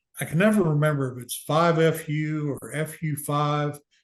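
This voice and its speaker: A man with an American accent speaks at a fairly high pitch in a somewhat breathy voice. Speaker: cancer survivor and navy veteran. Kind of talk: interview testimony. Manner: casual.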